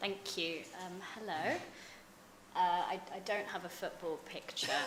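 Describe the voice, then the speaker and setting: This woman has a British accent and a medium pitch, talking at a fairly slow pace with fairly even intonation. The room echo is audible, and background noise is noticeable. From London, England. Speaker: think tank researcher. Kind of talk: conference talk. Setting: conference panel with audience. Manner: hesitant, many fillers.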